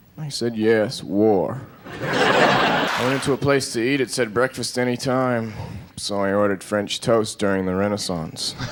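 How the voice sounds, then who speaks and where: A man with an American accent speaks at a fairly slow pace in a deadpan tone, his pitch medium. Noticeable background noise runs under the recording. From Massachusetts, USA. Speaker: stand-up comedian. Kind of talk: stand-up comedy routine. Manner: deadpan, monotone.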